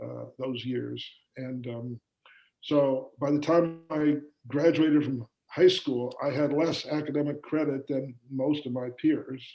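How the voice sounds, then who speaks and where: Speaking very slowly with long, frequent pauses, a man with a Midwestern American accent uses a fairly high pitch, a dark, mellow tone and flat, monotone intonation. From US Midwest, Kansas City, Missouri. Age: 70s. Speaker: business owner. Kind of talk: interview. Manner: halting, many fillers.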